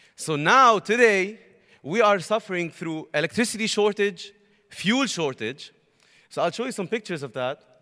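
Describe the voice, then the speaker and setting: A raised, projected voice with a bright, sharp tone moves at a moderate pace, animated and lively in intonation. The recording is very clean, with a silent background. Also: man, high pitch for a man. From Lebanon. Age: young. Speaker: university student. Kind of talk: testimony.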